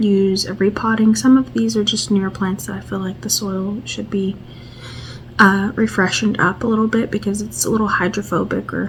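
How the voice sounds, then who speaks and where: A soft-spoken woman at medium pitch talks with lively intonation over noticeable background noise. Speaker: plant vlogger. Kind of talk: casual vlog tutorial. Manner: quiet, soft-spoken; hesitant, many fillers.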